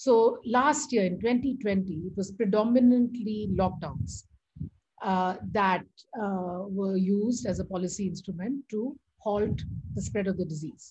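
Somewhat breathy, a woman speaks at a fairly slow pace. Her pitch is medium with ordinary variation. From India. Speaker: economics professor. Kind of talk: lecture. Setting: video call. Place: home room. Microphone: video call.

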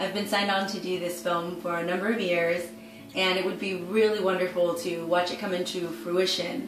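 Clear music plays in the background while the voice moves at a moderate pace with audible room echo. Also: woman, medium pitch for a woman, ordinary pitch variation. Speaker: actress. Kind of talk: crowdfunding appeal to camera. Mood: warm, upbeat, smiling. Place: home room.

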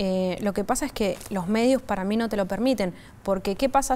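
Ordinary pitch variation in a woman's speech. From Argentina, Buenos Aires. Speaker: social media influencer. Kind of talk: interview; interview answer. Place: studio. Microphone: lapel.

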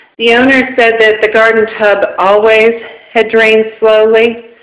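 Audible room echo surrounds a woman's voice in an otherwise quiet background. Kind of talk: casual walkthrough commentary. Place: home room. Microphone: phone near.

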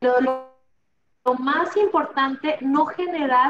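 Over clear music in the background, a woman with a high voice speaks at a very slow pace with lively intonation. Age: 40s. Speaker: insurance executive; interview guest. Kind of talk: interview. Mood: warm, motivational. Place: office. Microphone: video call.

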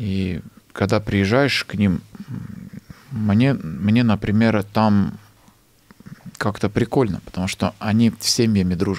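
The man speaks at a fairly slow pace in a fairly low pitch. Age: 30s. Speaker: actor, screenwriter and stand-up comedian; actor, stand-up comedian. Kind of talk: casual interview chat. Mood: relaxed, storytelling. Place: studio. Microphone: studio mic.

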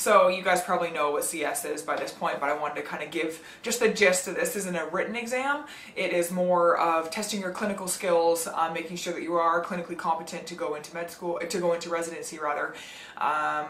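A woman speaks with a fairly low pitch and ordinary pitch variation. Audible room echo and light background noise can be heard. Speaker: medical student vlogger. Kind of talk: casual vlog chat. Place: home room.

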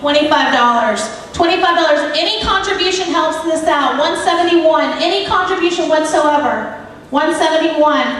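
This woman's voice sits extremely high in pitch, and her loudness stays very even at a moderate pace. Strong room echo surrounds her, along with light background noise. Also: ordinary pitch variation, hardly any pauses. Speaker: charity auctioneer. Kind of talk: charity auction paddle-raise calling. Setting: live event room, microphone. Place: hall.

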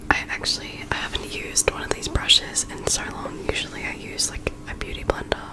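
The speaker is a woman, whispering. Her pace is moderate. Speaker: ASMR creator. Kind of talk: ASMR casual talk to camera. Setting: close microphone recording at home. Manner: whispered, soft-spoken. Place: home room. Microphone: studio mic.

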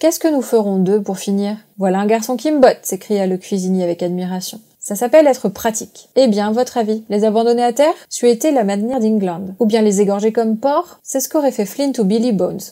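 Her tone dark and mellow, a woman speaks at a fairly high pitch and a fairly quick pace. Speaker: audiobook narrator. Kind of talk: reading aloud.

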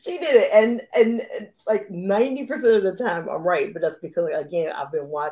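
Her voice is fairly high yet dark and mellow in tone, with very wide pitch swings. The woman talks at a fairly quick pace with hardly any pauses. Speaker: romance author and show host. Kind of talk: live interview chat. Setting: live video stream. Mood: cheerful, laughing. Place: home room. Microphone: video call.

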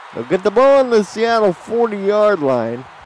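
With lively intonation and an unremarkable speaking voice, a man speaks at a moderate pace. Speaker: play-by-play sports commentator. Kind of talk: live play-by-play commentary of a simulated football game. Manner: erupts into shouting excitement on big plays.

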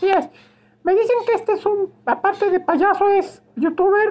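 Putting on a character voice, a man speaks at an extremely high pitch at a moderate pace. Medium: role play.

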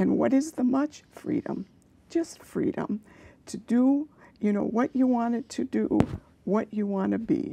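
With long, frequent pauses and light background noise, a woman speaks at a fairly slow pace in a dark, mellow tone, her pitch fairly high with ordinary variation. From US, immigrant childhood; born in Austria to Armenian and Austrian parents. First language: Armenian. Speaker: author and English teacher. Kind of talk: interview. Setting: studio. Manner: reflective, somewhat halting with fillers. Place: studio. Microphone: lapel.

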